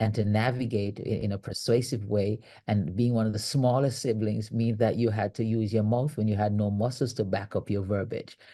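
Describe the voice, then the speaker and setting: Speaking at a fairly quick pace in a strong Jamaican accent, a man with a fairly low pitch and dark, mellow tone keeps a monotone, flat intonation over a quiet background. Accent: Jamaican, thick. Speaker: leadership coach and author. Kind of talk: interview conversation. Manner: frequent repetitions and fillers.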